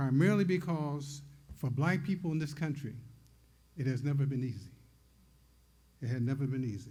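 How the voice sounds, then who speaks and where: A man's fairly high, somewhat breathy voice with a dark, mellow tone, ordinary pitch variation, a fairly quick pace, long and frequent pauses and audible room echo. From US Midwest, Detroit, Michigan. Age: 80s+. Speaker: poet and publisher, award recipient. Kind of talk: acceptance speech.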